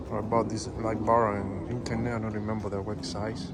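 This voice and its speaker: A man with a Cuban accent speaks at a fairly low pitch in a flat, monotone way. Room echo is audible. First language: Spanish. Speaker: truck owner vlogger. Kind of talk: casual walkaround show-and-tell. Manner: halting, many fillers.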